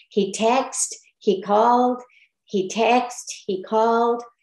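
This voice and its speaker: Against a quiet background with audible room echo, a woman with an American accent speaks very slowly at a fairly high pitch and fairly even intonation. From Texas. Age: 70s. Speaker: retired midwife; guest. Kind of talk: testimonial presentation with Q&A. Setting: video call. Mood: earnest, grateful, some frustration. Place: home room. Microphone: video call.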